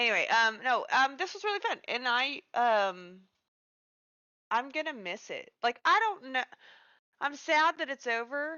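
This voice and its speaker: The speaker talks with a Kansas accent at a fairly slow pace, with long, frequent pauses. The pitch swings very widely. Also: woman, high pitch for a woman. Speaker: streamer and tabletop game player. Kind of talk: casual chat. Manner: halting, many fillers.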